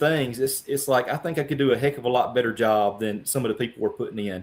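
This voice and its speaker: A man with a Louisiana accent talks at a fairly quick pace, his medium pitch showing ordinary variation. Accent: Louisiana Southern accent, noticeable. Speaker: congressional candidate. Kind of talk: interview. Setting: live broadcast. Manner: animated.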